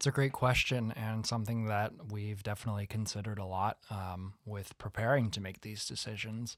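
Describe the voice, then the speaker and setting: A man with an American accent talks in a normal speaking voice at a fairly low pitch, at a fairly quick pace with fairly even intonation. The recording is very clean with a silent background. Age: 20s. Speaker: college theatre student. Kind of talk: casual chat. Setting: studio.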